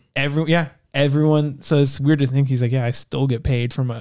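A man with an unremarkable speaking voice holds a medium pitch and fairly even intonation. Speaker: podcast host. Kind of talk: casual chat.

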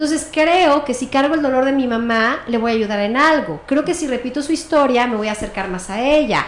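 A woman with a high pitch and lively intonation speaks at a moderate pace, with audible room echo. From Mexico City. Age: 40s. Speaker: family constellations therapist. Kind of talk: interview.

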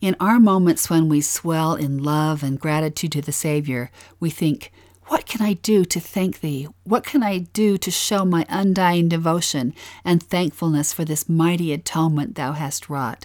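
In a very clean recording with a silent background, a woman with a Utah accent speaks at a moderate pace, her fairly low pitch showing ordinary variation. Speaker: podcast co-host, scripture study. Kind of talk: scripted scripture-study narration.

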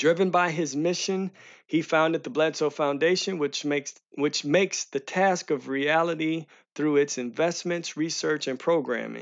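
Male voice, fairly high in pitch, moderately paced and with fairly even intonation. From US Midwest, St. Louis. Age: 40s. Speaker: radio host. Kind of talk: radio show monologue and interview. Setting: studio.

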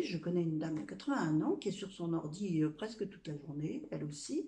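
A woman's somewhat breathy voice, dark and mellow in tone, at a fairly slow pace. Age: 60s. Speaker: blogger and influencer. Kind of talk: casual testimony. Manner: halting.

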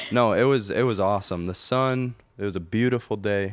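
A man speaks in a plain, everyday voice at a moderate pace. His pitch varies in an ordinary way. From Michigan, Belding. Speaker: musician. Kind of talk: casual interview chat.

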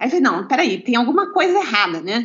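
Her pitch swings very widely as she talks. The woman keeps a fairly quick pace. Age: 50s. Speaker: lawyer and bodybuilder. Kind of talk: interview.

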